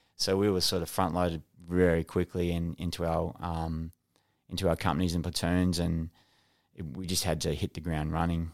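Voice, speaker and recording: On a very clean recording with a silent background, a man speaks at a moderate pace with an Australian accent. His very deep, low voice stays monotone and flat. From Australia, NSW and Northern Territory. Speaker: retired special forces soldier. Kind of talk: casual interview.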